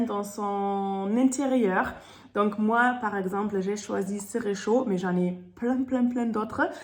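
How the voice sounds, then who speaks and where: A somewhat breathy woman at a very slow pace, with audible room echo. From Germany. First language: German (speaking French). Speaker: sales consultant. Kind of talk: product presentation. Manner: hesitant, many fillers.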